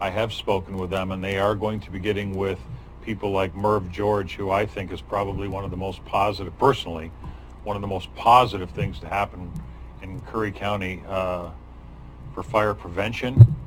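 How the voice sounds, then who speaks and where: Over audible room echo, a man speaks at a moderate pace with a fairly low pitch and ordinary pitch variation. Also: big swings in loudness. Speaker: county board chair. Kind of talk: public meeting. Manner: animated.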